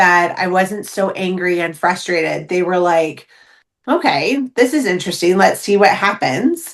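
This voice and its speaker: Lively intonation and an animated tone come from a woman speaking. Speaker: intuition coach and medium. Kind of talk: casual interview chat. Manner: loud.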